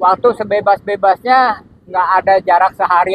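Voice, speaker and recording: The speaker is a man. His voice is high. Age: 60s. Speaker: long-distance cyclist. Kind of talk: interview.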